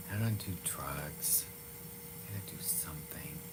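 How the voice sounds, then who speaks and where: Speech comes at a very slow pace amid noticeable background noise and audible room echo. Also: man. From Massachusetts (Waltham), born in Iran. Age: 50s. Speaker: livestreamer, former nightclub performer. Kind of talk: casual live chat reading comments. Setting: live stream.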